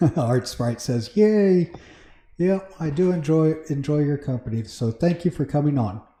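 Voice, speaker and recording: A man's fairly high, somewhat breathy voice with a dark, mellow tone, lively intonation and a moderate pace. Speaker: Minecraft livestreamer. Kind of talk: casual livestream chat. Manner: conversational, hesitant with fillers. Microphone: mic moved close to mouth; echo in recording.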